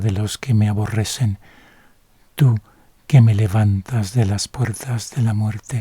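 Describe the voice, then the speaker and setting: A man's calm, dark, mellow voice, fairly low in pitch and somewhat breathy, with fairly even intonation. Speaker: Bible reader / ASMR narrator. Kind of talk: sleep-aid Bible reading, bilingual English and Spanish. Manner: soft, calm, slow.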